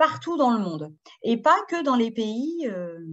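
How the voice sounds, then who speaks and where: With a Parisian accent, a woman speaks very slowly at a high pitch, her voice making very wide pitch swings. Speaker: educational publisher presenter for French teachers. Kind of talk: webinar presentation. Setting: video webinar. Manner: hesitant, many fillers (euh, hein).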